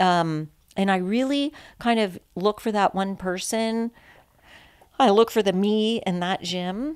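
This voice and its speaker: Speaking at a fairly slow pace in a Californian accent, a woman uses a medium pitch with ordinary variation and takes long, frequent pauses. The recording is very clean, with a silent background. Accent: American, Californian. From San Francisco, California. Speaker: podcast guest, recovering addict, CrossFit athlete. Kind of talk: casual chat.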